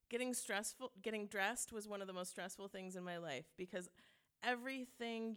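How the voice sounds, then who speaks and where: A woman in a plain, everyday voice, speaking fairly quickly with ordinary pitch variation. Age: 40s. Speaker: storyteller. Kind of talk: live storytelling on stage. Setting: stage with audience at a brewery.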